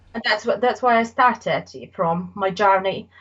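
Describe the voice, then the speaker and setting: A woman with a Polish accent speaks somewhat breathily, with ordinary pitch variation. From Poland. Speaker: artist. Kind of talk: casual interview. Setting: podcast recording. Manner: halting.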